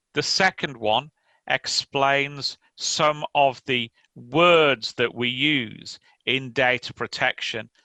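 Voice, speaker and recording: In an English accent, a bright, sharp voice moves at a very slow pace with ordinary pitch variation, heard dry and close with no echo over a quiet background. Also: man. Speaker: lawyer. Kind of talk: conference talk. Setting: remote conference presentation.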